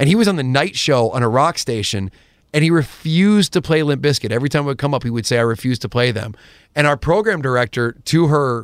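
A plain, everyday voice with an American accent moves at a fairly quick pace with lively intonation, recorded very cleanly against a silent background in a dry, close sound with no echo. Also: man. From US South, Georgia. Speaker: radio host. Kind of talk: casual interview chat.

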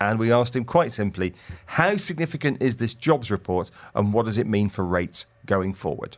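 In a normal speaking voice, a man talks at a fairly quick pace and medium pitch. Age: 50s. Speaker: radio business show host. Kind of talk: casual chat; radio interview. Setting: studio.

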